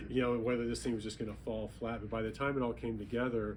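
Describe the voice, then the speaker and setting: A man talks at a very fast pace. Audible room echo surrounds his voice. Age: 60s. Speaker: author, retired banking executive. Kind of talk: book talk interview. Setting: bookstore event with audience.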